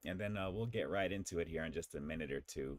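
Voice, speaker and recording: The voice carries vocal fry alongside lively intonation. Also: man. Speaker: food review youtuber. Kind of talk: livestream chat. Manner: casual, filler-heavy.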